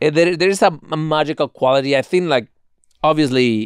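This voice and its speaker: A man with a Spanish accent, ordinary pitch variation and a dry, close sound with no echo. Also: very clean recording, silent background. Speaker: podcast host. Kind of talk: podcast movie review talk.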